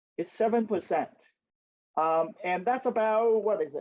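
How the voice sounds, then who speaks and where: A man with a Vietnamese accent speaks in a high voice at a fairly slow pace. His pitch variation is ordinary. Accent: Vietnamese accent, noticeable. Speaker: census expert and community speaker. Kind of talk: community talk with Q&A. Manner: hesitant, many ums and restarts.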